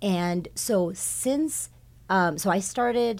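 A woman with a Californian accent on a very clean recording with a silent background. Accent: Californian American. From Southern California, South Bay. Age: 40s. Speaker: high school science department chair. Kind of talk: casual interview.

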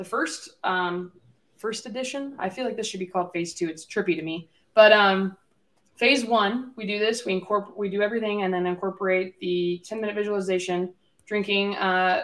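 A woman speaks in an ordinary speaking voice at a medium pitch. Her pace is fairly quick and her intonation fairly even. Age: 20s. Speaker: podcast co-host. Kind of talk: casual chat.

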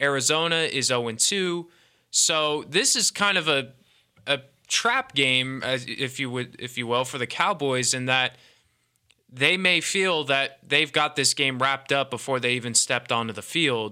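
On a very clean recording with a silent background, a man speaks at a moderate pace in a bright, sharp tone, with a fairly high pitch and ordinary pitch variation. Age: 20s. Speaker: college radio sports host. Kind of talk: casual sports talk. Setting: studio.

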